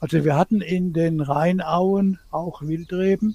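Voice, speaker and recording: In a dry, close sound with no echo, a man speaks at a very slow pace and a high pitch, his intonation fairly even. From Palatinate, Germany (Bad Dürkheim). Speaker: wine historian. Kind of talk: interview.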